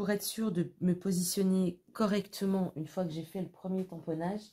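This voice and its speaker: A woman's fairly slow, fairly low-pitched, somewhat breathy voice with a dark, mellow tone and fairly even intonation. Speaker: craft tutorial youtuber. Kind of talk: tutorial. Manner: casual, chatty with fillers.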